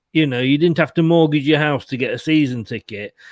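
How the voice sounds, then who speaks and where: A man speaks with an English accent. The recording is very clean, with a silent background and a dry, close sound with no echo. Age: 60s. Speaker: football fan panellist. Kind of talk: casual chat.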